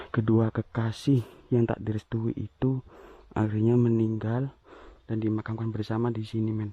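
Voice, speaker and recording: A man speaks quietly at a moderate pace, his medium-pitched voice dark, mellow and somewhat breathy, in a monotone, flat delivery with a dry, close sound and no echo. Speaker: explorer vlogger of sacred graves. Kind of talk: walking vlog narration. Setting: outdoors in forest graveyard. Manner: quiet, lowered volume.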